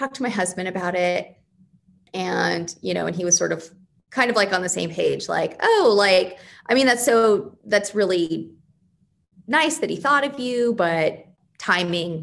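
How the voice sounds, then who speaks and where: With an American accent, the speaker talks at a fairly slow pace with lively intonation, vocal fry, and long, frequent pauses. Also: woman, medium pitch for a woman. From Arizona, west of Phoenix. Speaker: priest. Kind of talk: interview. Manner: energetic.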